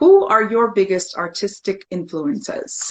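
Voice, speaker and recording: Her pitch variation is ordinary. The speaker is a woman. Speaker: interview series host. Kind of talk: reading aloud a bio; interview. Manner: excited, animated.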